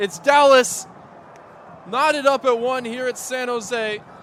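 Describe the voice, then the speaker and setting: A man's extremely high voice over noticeable background noise. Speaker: radio play-by-play soccer commentator. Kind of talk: live sports play-by-play commentary. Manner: fast, energetic.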